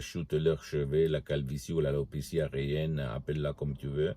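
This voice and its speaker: A man with a non-native accent, very deep and low in pitch, monotone and flat, at a fairly quick pace. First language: Italian (speaking French). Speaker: hypnotherapist. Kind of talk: promotional video talk. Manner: halting.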